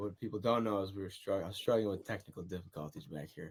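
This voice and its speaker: Very fast talk from a man at a fairly low pitch with an American accent. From United States. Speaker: singer. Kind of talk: interview answer. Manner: casual, hesitant.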